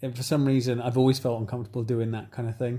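With an English accent, a man talks in a dark, mellow tone that is somewhat breathy. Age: 30s. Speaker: podcast host. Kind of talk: casual chat. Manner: animated.

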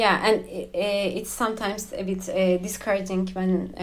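A woman with a Turkish accent, medium in pitch, fairly slow and with fairly even intonation. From Turkey. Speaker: expat spouse guest. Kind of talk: casual interview. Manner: hesitant, many fillers.

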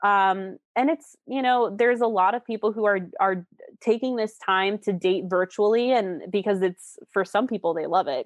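A woman talks at a moderate pace in a normal speaking voice, with medium pitch and ordinary pitch variation. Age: 20s. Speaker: relationship coach. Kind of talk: interview.

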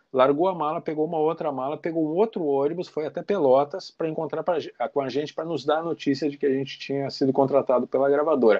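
Fairly even intonation comes through at a very fast pace. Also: man. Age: 50s. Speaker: rock guitarist. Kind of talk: casual interview.

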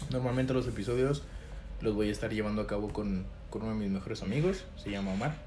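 Audible room echo carries a man's fairly low voice as he talks at a very fast pace with ordinary pitch variation. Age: 20s. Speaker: podcast host. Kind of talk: casual monologue to camera. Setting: home recording to camera. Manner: hesitant, many fillers.

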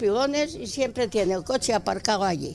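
Over noticeable background noise, a woman with a fairly high pitch speaks fairly quickly with very wide pitch swings. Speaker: neighbourhood volunteer. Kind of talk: casual chat.

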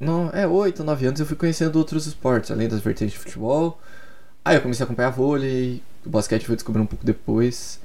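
A man with a dark, mellow tone speaks at a medium pitch with ordinary pitch variation, and audible room echo surrounds his voice. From Curitiba, Brazil. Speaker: sports podcaster. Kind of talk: solo podcast monologue. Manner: casual, hesitant with repetitions.

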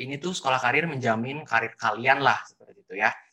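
The man has a normal speaking voice at medium pitch and talks at a fairly quick pace. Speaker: student podcast host. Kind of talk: casual interview.

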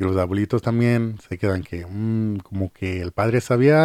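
A man speaks at a moderate pace in a fairly low pitch, his tone dark and mellow. The recording is very clean, with a silent background. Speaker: podcast host. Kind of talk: casual chat.

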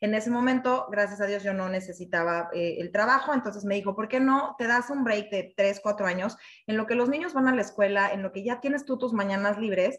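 A somewhat breathy woman speaks at a fairly high pitch and a fairly quick pace, with ordinary pitch variation and hardly any pauses. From Mexico City. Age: 30s. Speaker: network marketing team leader. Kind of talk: personal testimony presentation. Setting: online live session.

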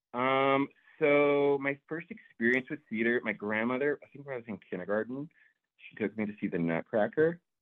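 With a normal speaking voice, a man talks at medium pitch and a moderate pace, his intonation lively and his loudness swinging widely. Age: 30s. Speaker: actor. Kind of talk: casual chat.

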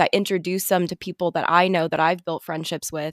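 Using a normal speaking voice, a woman with an American accent talks at a fairly quick pace, fairly low in pitch with fairly even intonation, in a dry, close sound with no echo. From Arizona, US. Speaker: tour guide and art history student. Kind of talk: casual chat.

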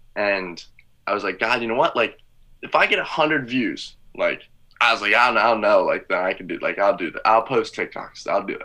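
A man with an American accent at a fairly quick pace against a quiet background. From rural Pennsylvania. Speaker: TikTok content creator. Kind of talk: casual interview chat.

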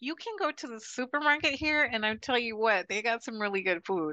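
A woman with an American accent talks with lively intonation in a bright, sharp tone. The sound is dry and close with no echo, and the background is quiet. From Arizona. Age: 50s. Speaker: expat retiree. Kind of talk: interview.

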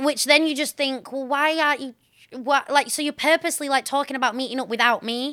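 A woman talks fairly quickly in a raised, projected voice, high-pitched, bright and sharp, with fairly even intonation. The recording is very clean, with a silent background and a dry, close sound with no echo. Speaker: podcast co-host. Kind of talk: casual chat. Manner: loud.

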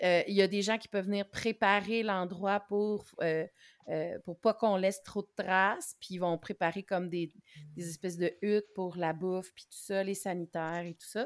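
In a Quebec accent, a woman with a medium pitch and fairly even intonation speaks at a moderate pace, her loudness swinging widely, on a very clean recording with a silent background. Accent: Québécois French. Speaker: knitting podcaster. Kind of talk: casual chat.

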